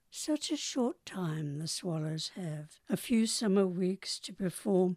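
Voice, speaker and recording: In a New Zealand accent, a woman speaks at a very slow pace with a medium pitch and a dark, mellow tone. The recording is very clean and dry, close with no echo and a silent background. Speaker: poet. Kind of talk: poetry reading.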